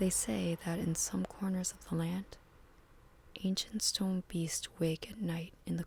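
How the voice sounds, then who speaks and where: Gentle tone at a moderate pace. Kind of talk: ASMR storytelling, soft narration of game lore. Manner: soft, quiet, gentle.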